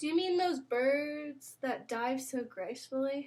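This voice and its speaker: A woman does a loud, put-on character voice pitched high, speaking at a fairly slow pace. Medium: read story. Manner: loud, hearty.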